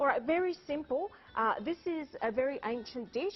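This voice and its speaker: A woman in an Australian accent with lively intonation, music in the background. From Greek island, born in Sydney. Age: 40s. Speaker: cookbook author and chef. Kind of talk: TV cooking demonstration. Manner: animated.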